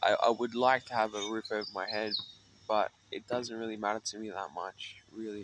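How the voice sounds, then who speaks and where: At a moderate pace, a man with a fairly low pitch speaks in a monotone, flat intonation over noticeable background noise. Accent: Australian. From Australia, Sydney (North Mead). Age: 30s. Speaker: homeless musician vlogger. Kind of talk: casual personal vlog monologue. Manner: rambling, hesitant with fillers.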